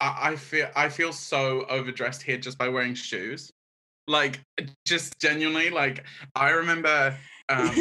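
A man with a New Zealand accent speaks at a fairly high pitch. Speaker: podcast guest. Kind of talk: casual chat.

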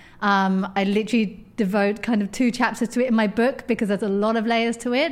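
A woman speaks in a southern English accent. Her pace is fairly quick. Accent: southern English, London-area. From edge of London, England. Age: 30s. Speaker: author and magazine editor. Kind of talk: casual interview chat.

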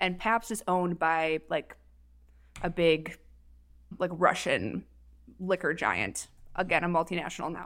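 A speaker with an Upper Midwest accent talks at a fairly slow pace with ordinary pitch variation. Long, frequent pauses break up the speech, and the recording is very clean with a silent background. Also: woman, fairly low pitch for a woman. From Minnesota. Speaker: paramedic. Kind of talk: casual chat.

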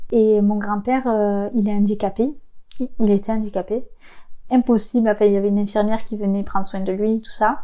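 Fairly quick and monotone, a woman's voice has a fairly high pitch and a dark, mellow tone. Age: 20s. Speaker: interviewee sharing childhood abuse story. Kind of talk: testimony. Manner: halting.

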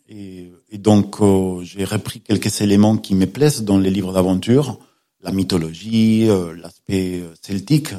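Recorded very cleanly against a silent background, a man with a Spanish accent speaks fairly slowly at a fairly low pitch in a dark, mellow tone. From Spain. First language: Spanish (speaking French). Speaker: law professor and novelist. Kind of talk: radio interview. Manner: halting, with fillers and repetitions.

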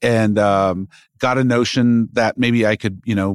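Here a man with a normal speaking voice talks at a moderate pace with fairly even intonation. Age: 40s. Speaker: magazine publisher. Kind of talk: casual interview chat. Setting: office studio.

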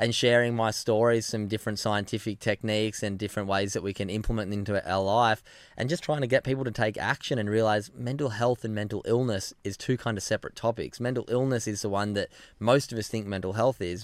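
Speaking very fast with an Australian accent, a man keeps his fairly low voice fairly even in intonation. The recording is very clean, with a silent background. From Australia, Sydney (Narrabeen). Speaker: former pro surfer, mental health advocate. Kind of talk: casual interview chat.

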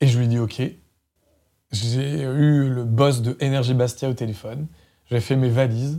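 A dark, mellow tone carries fairly even intonation with long, frequent pauses in a very clean recording with a silent background. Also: man, medium pitch for a man, fairly slow pace. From France, Loiret countryside. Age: 40s. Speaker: former radio programme director. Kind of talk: interview. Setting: studio.

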